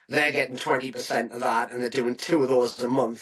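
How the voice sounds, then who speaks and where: Over noticeable background noise, a man with a northeast English accent speaks at medium pitch in a flat monotone. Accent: north-east English. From northern England, County Durham. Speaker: property agency founder. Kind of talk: podcast interview. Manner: hesitant fillers.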